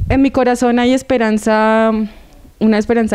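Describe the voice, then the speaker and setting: A woman with a fairly high pitch talks at a moderate speed. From Colombia. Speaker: youth council member. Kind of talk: TV interview. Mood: hopeful, happy. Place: studio. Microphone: handheld.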